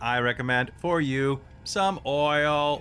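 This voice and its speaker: A man's put-on character voice, fairly high in pitch, at a very slow pace. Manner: polite, helpful.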